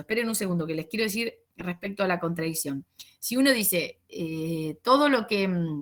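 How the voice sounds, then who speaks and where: At a fairly quick pace, a woman talks with lively intonation at a medium pitch. Her loudness swings widely. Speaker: sociology teacher. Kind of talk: lecture over video call. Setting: video call. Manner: fast; halting, many fillers.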